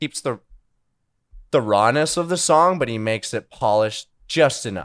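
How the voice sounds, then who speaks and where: A man's plain, everyday voice at medium pitch, with lively intonation, a moderate pace and a dry, close sound with no echo. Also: very clean recording, silent background. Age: 20s. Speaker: musician. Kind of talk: casual interview chat.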